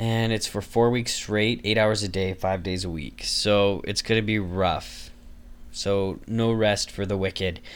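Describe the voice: A man's fairly low voice at a fairly slow pace, with fairly even intonation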